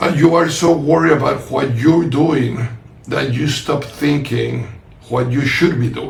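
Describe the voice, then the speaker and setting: A man with fairly high pitch speaks at a fairly slow pace and fairly even intonation. Room echo is audible, and background noise is noticeable. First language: not English. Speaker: podcast host and author. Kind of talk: casual conversation. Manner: halting.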